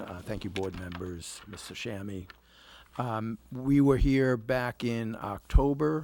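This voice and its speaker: Soft-spoken yet with big swings in loudness, a man speaks fairly slowly at a fairly low pitch with ordinary pitch variation. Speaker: attorney for an applicant. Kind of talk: public hearing presentation. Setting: planning board meeting with microphone. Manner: soft, quiet; formal.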